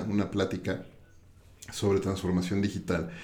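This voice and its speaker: A man is speaking. There is audible room echo around his voice. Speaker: podcast host. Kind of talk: interview.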